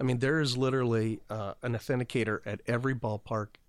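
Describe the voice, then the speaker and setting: Speaking at a very fast pace with an American accent, a man keeps a medium pitch and fairly even intonation on a very clean recording with a silent background. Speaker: baseball clubhouse manager. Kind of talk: casual interview chat. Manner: halting, repeats words.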